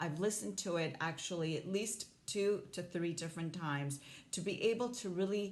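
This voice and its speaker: A woman with a fairly low pitch amid audible room echo. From Hong Kong. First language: not English (English is third language). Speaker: life coach. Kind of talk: motivational talk to camera.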